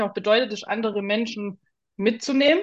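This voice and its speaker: Fairly high in pitch with ordinary pitch variation, this woman has an ordinary speaking voice. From Swabia, southern Germany. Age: 30s. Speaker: artist. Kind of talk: interview.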